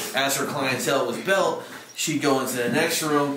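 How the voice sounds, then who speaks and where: Noticeable background noise and audible room echo surround a man as he talks. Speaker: paranormal investigator; tour guide. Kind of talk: casual chat. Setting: outdoors. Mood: earnest, storytelling. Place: empty room. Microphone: camera far.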